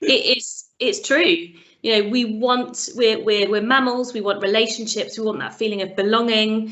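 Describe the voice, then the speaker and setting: A woman's fairly high voice in a British accent, with ordinary pitch variation at a moderate pace. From Britain. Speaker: sales trainer and coach, business founder. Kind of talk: interview.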